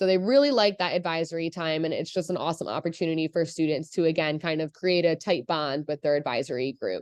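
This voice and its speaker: Speaking at a very fast pace with hardly any pauses, a woman with a fairly low pitch talks over a quiet background. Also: ordinary pitch variation. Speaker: school counselor. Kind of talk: presentation.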